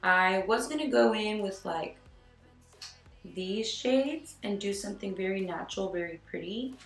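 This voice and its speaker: Lively intonation from a woman at medium pitch and moderate pace, with music in the background and audible room echo. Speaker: beauty vlogger. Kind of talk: makeup tutorial.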